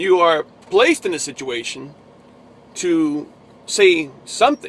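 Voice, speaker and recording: A man speaks with a New Jersey accent at a high pitch. His pitch swings very widely. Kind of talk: casual religious vlog. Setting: in a truck. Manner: halting.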